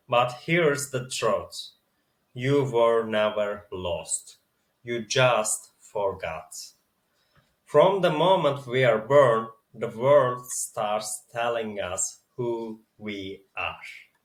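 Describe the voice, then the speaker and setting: A man with a non-native accent speaks at a very slow pace. His medium-pitched voice is somewhat breathy. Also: ordinary pitch variation. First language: not English. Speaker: spiritual video creator. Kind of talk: reading from teleprompter, reflective monologue. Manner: slightly halting, self-correcting.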